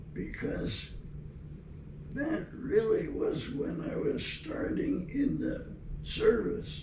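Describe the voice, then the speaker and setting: With noticeable background noise behind him, a man speaks at a very slow pace, pausing long and often. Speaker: war veteran. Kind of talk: interview answer. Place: office.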